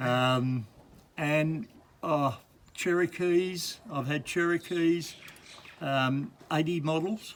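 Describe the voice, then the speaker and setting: In an Australian accent, a man speaks very slowly with long, frequent pauses, his fairly high voice showing ordinary pitch variation. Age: 70s. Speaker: jeep owner. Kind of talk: casual chat.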